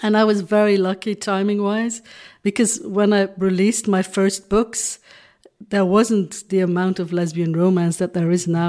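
With a Dutch accent, a woman talks at a moderate pace in a medium pitch, her tone dark and mellow and her intonation fairly even. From Belgium (Flanders). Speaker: romance novelist. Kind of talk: interview.

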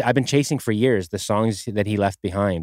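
A plain, everyday voice from a man, fairly low in pitch and fairly quick in pace, on a very clean recording with a silent background. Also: dry, close sound with no echo. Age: 40s. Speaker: podcast host. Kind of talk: casual interview chat.

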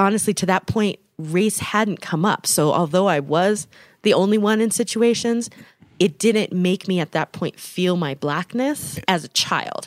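With an American accent and a normal speaking voice, a woman at medium pitch talks fairly slowly with ordinary pitch variation, the sound dry and close with no echo. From Denver, Colorado. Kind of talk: casual chat. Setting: home basement recording.

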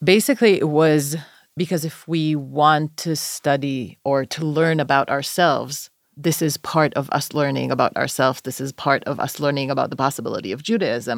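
With an Israeli accent, a woman speaks at a very deep, low pitch with ordinary pitch variation in a very clean recording over a silent background. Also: moderate pace. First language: Hebrew. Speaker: podcast host, scholar. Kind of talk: casual chat.

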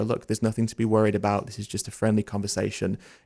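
A man with a British accent talks at a very fast pace in a dark, mellow voice of fairly low pitch. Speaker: vegan educator and activist. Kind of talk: interview conversation.

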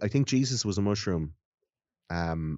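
This man speaks with an Irish accent at a fairly low pitch and a moderate pace. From Ireland. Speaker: podcast host guesting on another show. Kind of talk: casual chat.

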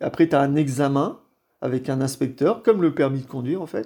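Pitch moves up and down in an ordinary way. The tone is dark and mellow. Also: man. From Brittany, France (Brest, Finistère). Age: 50s. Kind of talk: interview. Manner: halting, repeats words.

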